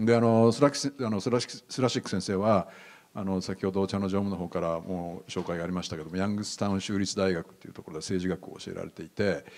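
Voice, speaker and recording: A man's fairly low voice with a Japanese accent, very fast, with ordinary pitch variation. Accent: native Japanese. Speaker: professor. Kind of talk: lecture. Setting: stage with audience. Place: hall. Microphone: handheld.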